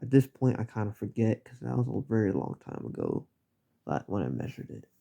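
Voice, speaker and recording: A man with a fairly low pitch and a dark, mellow tone speaks at a fairly quick pace, with vocal fry. His loudness swings widely, and his pitch moves through very wide swings. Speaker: hobbyist YouTuber, Lego ship builder. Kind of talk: casual monologue. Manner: halting, many repetitions and fillers.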